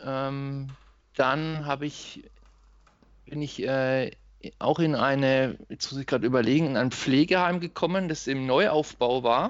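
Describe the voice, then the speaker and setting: This man's voice sits fairly high, with ordinary pitch variation, and he speaks at a very slow pace. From Germany, Lower Franconia (Schweinfurt). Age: 30s. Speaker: occupational therapist. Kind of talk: podcast interview.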